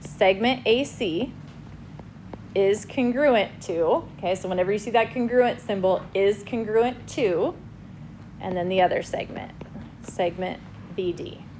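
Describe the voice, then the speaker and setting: A woman speaks at a fairly slow pace, with long, frequent pauses. Her pitch is medium with ordinary variation, and there is noticeable background noise. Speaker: high school math teacher. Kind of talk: classroom lecture.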